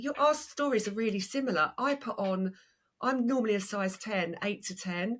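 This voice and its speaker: A woman with an Essex accent speaks at a moderate pace in a fairly high voice with lively intonation. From Essex, England. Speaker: podcast host, personal stylist. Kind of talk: podcast interview.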